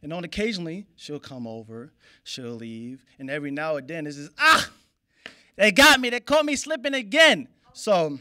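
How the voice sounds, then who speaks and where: The background stays quiet. A man talks with a bright, sharp tone. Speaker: stand-up comedian. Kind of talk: stand-up comedy routine. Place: stage. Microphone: handheld.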